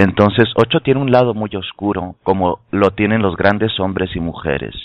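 This man has a fairly low pitch and an unremarkable speaking voice. He talks at a moderate pace with ordinary pitch variation. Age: 30s. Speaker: tarot and spirituality teacher. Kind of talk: casual chat. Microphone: connection dropping in and out.

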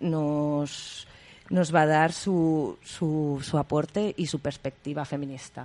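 Speaking very slowly, a woman with a very deep, low pitch keeps her intonation fairly even. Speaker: community radio host. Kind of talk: radio magazine show.

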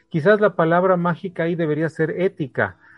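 This man has a plain, everyday voice with a fairly high pitch. He talks at a fairly quick pace. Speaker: radio host. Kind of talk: radio interview.

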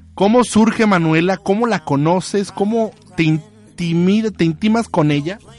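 Over noticeable background noise, a man with a high pitch talks at a fairly slow pace in an animated tone, keeping his loudness very even and his pitch variation ordinary. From Mexico, Tabasco. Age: 30s. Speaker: radio show host. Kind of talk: casual chat.

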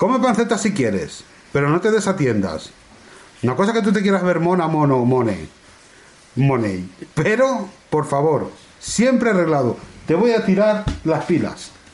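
Pausing long and often, a man with a high pitch speaks at a fairly slow pace with very wide pitch swings, and audible room echo surrounds his voice. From Spain, La Mancha. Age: 40s. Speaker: podcast host. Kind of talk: casual chat.

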